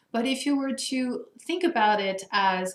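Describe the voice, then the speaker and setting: In a French accent, a woman talks with an animated tone, a fairly high pitch and ordinary pitch variation. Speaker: coach for higher education administrators. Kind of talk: Q&A video answering participant questions.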